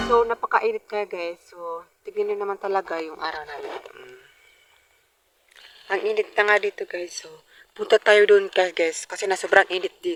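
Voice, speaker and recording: At a moderate pace and medium pitch, a woman speaks with big swings in loudness, the sound dry and close with no echo. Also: fairly even intonation. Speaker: vlogger. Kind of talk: casual vlog. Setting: outdoors.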